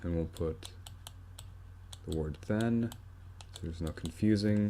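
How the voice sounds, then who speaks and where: A man speaks in a very deep, low voice. His tone is dark and mellow, and his pace is fairly slow. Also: ordinary pitch variation. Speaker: math tutorial maker. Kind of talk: tutorial.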